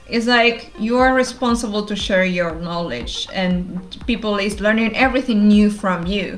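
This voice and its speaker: Fairly slow speech with ordinary pitch variation and audible room echo. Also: woman. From Argentina. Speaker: developer advocate. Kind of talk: interview.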